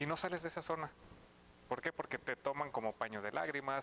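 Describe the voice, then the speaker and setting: This is an ordinary speaking voice, moving at a fairly quick pace. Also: man. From Mexico, Sinaloa. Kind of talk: casual chat.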